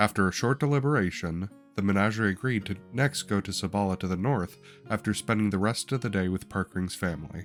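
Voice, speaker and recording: Over music in the background, a man speaks very fast in a fairly low pitch. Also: ordinary pitch variation. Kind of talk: campaign recap narration.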